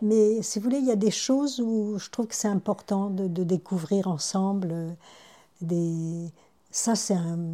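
The woman speaks at a very slow pace in a medium pitch. Her tone is dark and mellow, with ordinary pitch variation. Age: 70s. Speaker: retired midwife and grandmother. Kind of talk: interview testimony. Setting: at her son's house. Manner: hesitant, with repetitions.

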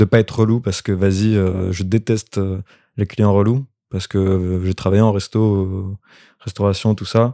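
Fairly low, dark, mellow male voice, flat and monotone, at a fairly slow pace, with a dry, close sound, no echo, and a very clean recording over a silent background. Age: 20s. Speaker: actor. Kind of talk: casual chat. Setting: recorded in a bed at the host's home.

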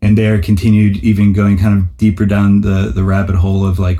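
A fairly low-pitched man's voice in an American accent, dark and mellow in tone, somewhat breathy, with fairly even intonation. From US Northeast, New Haven, Connecticut. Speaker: music promoter and DJ. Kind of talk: interview.

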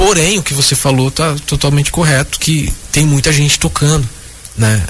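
Noticeable background noise sits under this man's fairly high voice as he talks at a moderate tempo. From Minas Gerais, Brazil. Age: 30s. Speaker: jazz guitarist. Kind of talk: radio interview.

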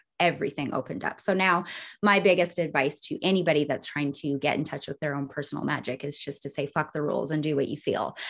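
Ordinary pitch variation comes through at a very fast pace. The background is quiet. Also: woman, very deep, low pitch for a woman. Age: 30s. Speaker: author and wellness witch. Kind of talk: casual interview chat. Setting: video call. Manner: animated, excitable.

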